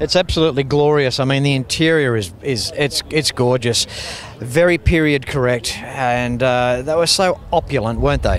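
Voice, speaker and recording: Over noticeable background noise, a man with an Australian accent speaks at medium pitch and a moderate pace, with ordinary pitch variation. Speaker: car show TV host. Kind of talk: casual interview. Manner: enthusiastic.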